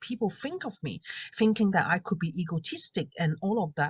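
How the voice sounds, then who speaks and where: Over a quiet background, a woman speaks in a somewhat breathy voice with lively intonation. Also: dry, close sound with no echo. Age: 40s. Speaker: confidence coach and makeup artist. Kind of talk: interview testimony.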